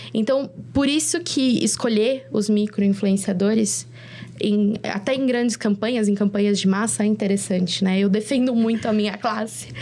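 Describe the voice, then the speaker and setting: Noticeable background noise runs behind a woman speaking at a moderate pace. Her pitch is fairly high and her loudness very even. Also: ordinary pitch variation. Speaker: content creator and influencer. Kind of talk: videocast panel discussion. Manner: halting, many fillers and restarts.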